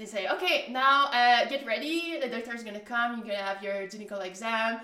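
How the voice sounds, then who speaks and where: A woman talks at a fairly quick pace in a normal speaking voice, her pitch fairly high. Her loudness swings widely. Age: 30s. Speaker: podcast guest. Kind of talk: casual storytelling.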